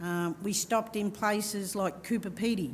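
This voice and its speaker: With audible room echo, a woman speaks at a moderate pace in a somewhat breathy voice with ordinary pitch variation. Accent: Australian. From Victoria, Australia. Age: 50s. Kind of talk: panel discussion. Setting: stage with audience. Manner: halting.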